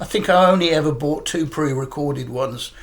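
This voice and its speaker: Fairly high pitch from a man. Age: 60s. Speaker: record collector YouTuber. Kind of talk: casual vlog talk. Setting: living room at home. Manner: halting, many fillers.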